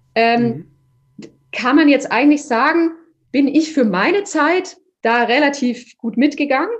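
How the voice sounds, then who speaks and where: A woman with a high voice talks fairly slowly, her intonation lively, her loudness swinging widely, and her speech broken by long, frequent pauses. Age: 30s. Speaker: opera singer. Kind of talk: interview.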